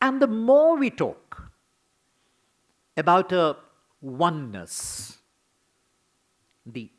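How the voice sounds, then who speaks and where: On a very clean recording with a silent background, a high-pitched man with a Bengali accent speaks very slowly, with very wide pitch swings, big swings in loudness and long, frequent pauses. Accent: Bengali Indian English. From Bengal, India. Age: 80s+. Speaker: scholar and theatre critic. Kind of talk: memorial lecture.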